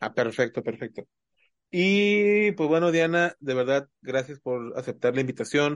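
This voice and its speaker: Using a normal speaking voice, a man talks at a fairly slow pace with a fairly high pitch and lively intonation, in a dry, close sound with no echo. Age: 30s. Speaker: podcast host. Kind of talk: casual chat.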